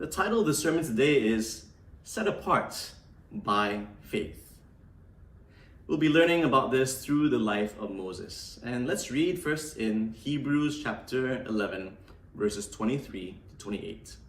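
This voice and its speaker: The pitch of a man's voice swings very widely as he speaks at a fairly slow pace. Audible room echo surrounds the recording. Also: medium pitch for a man. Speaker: pastor. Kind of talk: sermon.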